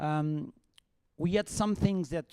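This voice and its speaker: With a non-native accent, a man speaks at a moderate pace in a dark, mellow tone with ordinary pitch variation, the sound dry and close with no echo on a very clean recording with a silent background. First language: Portuguese. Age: 40s. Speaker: conference speaker. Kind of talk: conference talk. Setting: stage with audience. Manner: halting.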